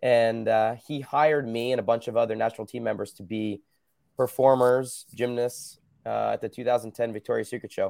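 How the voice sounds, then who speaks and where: A man with an American accent at a medium pitch, fairly quick pace, monotone, flat intonation and big swings in loudness, on a very clean recording with a silent background. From New Jersey, US. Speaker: former Olympic gymnast and fitness business owner. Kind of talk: casual interview.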